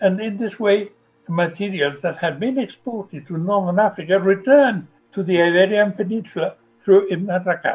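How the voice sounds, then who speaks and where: Music plays behind a man speaking at a moderate pace. His pitch is high, with ordinary variation. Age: 70s. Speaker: professor. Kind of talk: interview.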